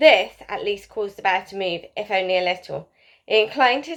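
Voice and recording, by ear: Someone is heard reading aloud in a natural voice.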